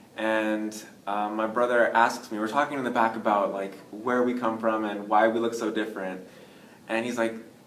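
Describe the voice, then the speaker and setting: Over noticeable background noise and audible room echo, a man with an American accent talks fairly quickly at a medium pitch. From US, New York (Bronx). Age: 20s. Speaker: adoptee interviewee, student. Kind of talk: casual interview.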